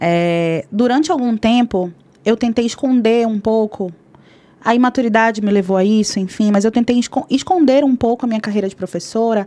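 Speaking at a medium speed, a woman uses an unremarkable speaking voice that sits fairly high, with normal pitch movement. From northern Brazil, Belém do Pará. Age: 30s. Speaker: singer-songwriter and music teacher. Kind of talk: casual interview chat.

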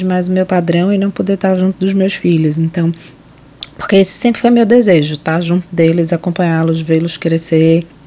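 Against noticeable background noise, a woman speaks in a fairly low pitch with fairly even intonation. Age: 30s. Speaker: pulmonologist. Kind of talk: personal testimony.

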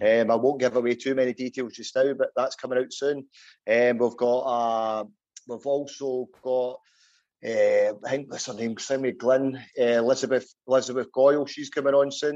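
At a moderate pace, a man with a Scottish accent speaks at medium pitch with monotone, flat intonation. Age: 40s. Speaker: podcast host. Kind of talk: casual interview.

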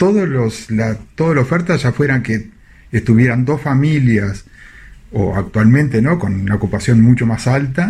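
A somewhat breathy voice with a Rioplatense accent, moderate pace and lively intonation. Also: man. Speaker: radio host. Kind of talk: radio show. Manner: halting.

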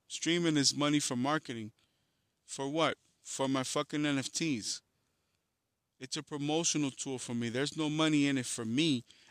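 Over a quiet background and in a dry, close sound with no echo, a man with a fairly high voice talks at a moderate pace with fairly even intonation and long, frequent pauses. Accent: American. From New York City (Harlem, Bronx), Dominican family. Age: 40s. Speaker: podcast host and music artist. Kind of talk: casual monologue.

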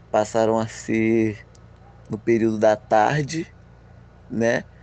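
A man is speaking. His pitch is medium. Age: 20s. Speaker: paralympic judo athlete and university student. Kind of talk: interview. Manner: halting.

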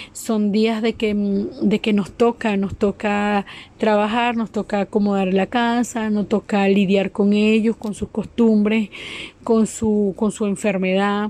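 A woman speaks very slowly in a dark, mellow tone with a Venezuelan accent, her medium pitch held in a flat monotone. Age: 30s. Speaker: migrant caregiver. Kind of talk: testimony.

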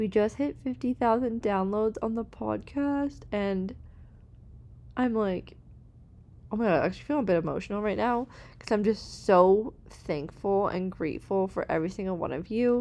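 A woman speaks at a moderate pace in a medium pitch. Her pitch varies in an ordinary way. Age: 20s. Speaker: podcast host. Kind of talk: casual solo podcast monologue. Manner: animated. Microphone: new podcast microphone.

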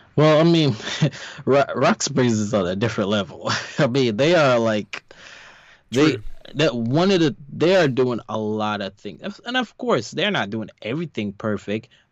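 A man with an American accent talks at a moderate pace and medium pitch, his pitch swinging very widely. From New York. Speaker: podcast co-host. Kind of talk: casual chat.

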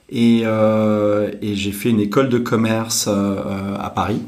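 Noticeable background noise and audible room echo surround a man's voice. He speaks at a fairly low pitch with monotone, flat intonation. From France, Normandy (Deauville). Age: 40s. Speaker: startup executive. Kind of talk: interview. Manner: halting, many fillers.

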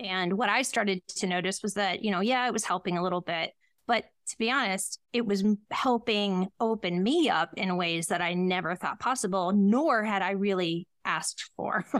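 A plain, everyday voice with an American accent speaks at a moderate pace with ordinary pitch variation. The recording is very clean with a silent background and a dry, close sound with no echo. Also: woman, medium pitch for a woman. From Ohio, US Midwest. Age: 40s. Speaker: psychic medium. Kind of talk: interview.

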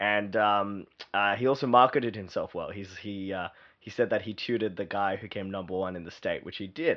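A man speaks at a fairly quick pace with a fairly low pitch. His intonation is fairly even, while his loudness swings widely. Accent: Australian. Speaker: growth consultant and entrepreneur. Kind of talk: interview. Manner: halting, many fillers.

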